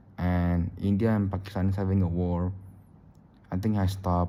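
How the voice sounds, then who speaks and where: A man speaks in a very deep, low voice with a dark, mellow tone and a monotone, flat intonation, and room echo is audible. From Indonesia. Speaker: YouTuber. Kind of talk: casual vlog monologue. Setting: recording at home late at night. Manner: halting, repetitive.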